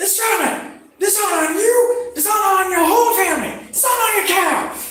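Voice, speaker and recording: A put-on character voice with an extremely high pitch, a fairly quick pace and a slight echo. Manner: cartoon dragon voice.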